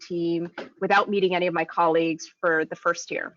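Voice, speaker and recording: A woman with an American accent, a normal speaking voice, medium pitch, and fairly even intonation. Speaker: recruitment manager. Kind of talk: webinar panel discussion.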